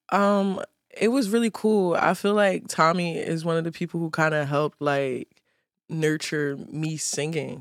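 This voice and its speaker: Speaking at a fairly slow pace, a woman with an American accent uses an ordinary speaking voice, fairly low pitch and ordinary pitch variation. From Philadelphia. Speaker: musician. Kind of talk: casual chat.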